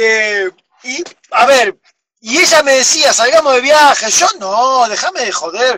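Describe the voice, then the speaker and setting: With an Argentine accent, a man speaks in an extremely high pitch and a raised, projected voice, his bright, sharp tone and lively intonation unfolding at a fairly slow pace in a dry, close recording with no echo. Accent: Rioplatense Argentine Spanish. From Argentina, Buenos Aires. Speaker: overland traveler. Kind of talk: interview. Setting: video call from camper van. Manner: loud.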